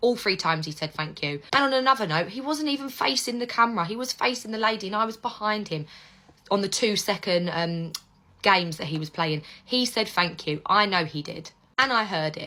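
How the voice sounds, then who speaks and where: Loud and passionate, a woman with an English accent speaks at a fairly quick pace. Her medium-pitched voice has a bright, sharp tone. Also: lively intonation. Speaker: parent vlogger. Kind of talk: direct-to-camera response video.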